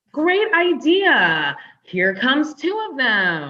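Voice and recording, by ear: With very wide pitch swings, the put-on character voice moves at a very slow pace. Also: woman, high pitch for a woman.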